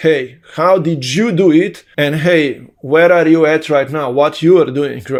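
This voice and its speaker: A man with a Slovene accent, at a fairly slow pace, with fairly high pitch and fairly even intonation. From Slovenia. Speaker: online business coach. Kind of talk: vlog monologue. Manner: talkative.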